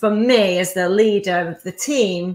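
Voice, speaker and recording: A woman's animated, bright, sharp voice with a northern English accent and ordinary pitch variation. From northern England. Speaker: entrepreneur, business coach. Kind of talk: podcast interview. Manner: fast.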